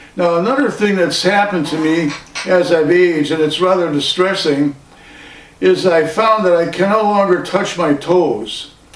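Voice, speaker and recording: Over noticeable background noise and audible room echo, a man talks in a high pitch with ordinary pitch variation at a moderate pace. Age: 80s+. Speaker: vlogger. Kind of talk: casual monologue.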